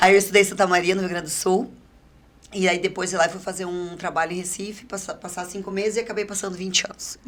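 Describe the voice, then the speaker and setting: A woman in a southern Brazilian accent, very fast and monotone with flat intonation. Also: medium pitch for a woman, big swings in loudness. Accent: southern Brazilian Portuguese with strong R. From Paraná, southern Brazil.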